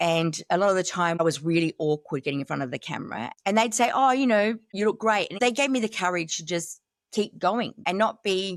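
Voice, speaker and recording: On a very clean recording with a silent background, a woman with an unremarkable speaking voice talks at a moderate pace. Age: 50s. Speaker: fashion consultant and plus-size model. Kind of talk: interview answer.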